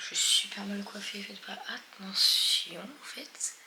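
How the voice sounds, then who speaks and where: A woman whispers amid noticeable background noise and audible room echo. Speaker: travel vlogger. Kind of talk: casual vlog talk to camera. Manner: animated.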